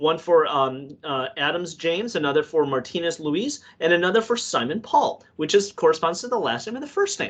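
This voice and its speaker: A man's high voice at a fairly quick pace, lively in intonation, with hardly any pauses. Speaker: database presenter. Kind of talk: technical webinar presentation. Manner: fast.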